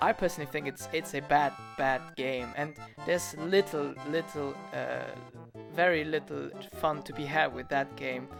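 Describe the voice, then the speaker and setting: Over music in the background, a man with a non-native accent talks at a moderate pace. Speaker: animator and video creator. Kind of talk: casual Q&A talk to camera.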